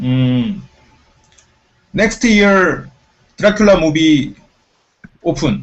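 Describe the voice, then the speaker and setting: With a Korean accent, a man speaks at a fairly high pitch with lively intonation. His pace is very slow, marked by long, frequent pauses. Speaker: show MC. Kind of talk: casual chat. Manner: halting.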